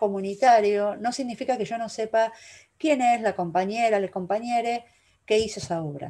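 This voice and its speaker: A woman's dark, mellow tone at a fairly high pitch, with ordinary pitch variation and a moderate pace. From Argentina. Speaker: curator and university lecturer; university lecturer. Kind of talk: lecture. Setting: video call. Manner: animated. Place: home room. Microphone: webcam.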